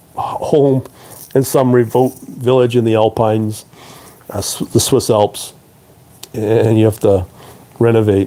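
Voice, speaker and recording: A man with a Canadian accent speaks slowly-ish at a fairly slow pace, at medium pitch with a dark, mellow tone and fairly even intonation. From Canada (Toronto). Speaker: trading educator and live streamer. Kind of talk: live stream talk to viewers. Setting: live stream. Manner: hesitant, many fillers.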